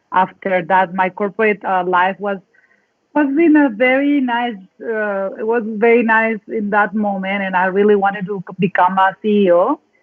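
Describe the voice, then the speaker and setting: A woman's medium-pitched voice in a Mexican accent, with ordinary pitch variation and a moderate pace. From northern Mexico (Sonora, Mexicali). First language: Spanish. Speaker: dance facilitator and coach. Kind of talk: interview.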